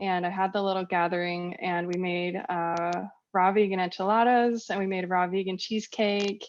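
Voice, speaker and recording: Moderate-paced speech from a woman at medium pitch, monotone and flat, over a quiet background. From Northern California. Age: 40s. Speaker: raw vegan lifestyle influencer. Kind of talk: podcast interview.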